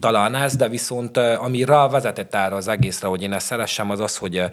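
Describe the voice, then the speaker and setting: A man talks in a plain, everyday voice. His pace is fairly quick, with ordinary pitch variation. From Szeklerland, Romania (Sepsiszentgyörgy). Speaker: chef and restaurant owner. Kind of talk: casual interview.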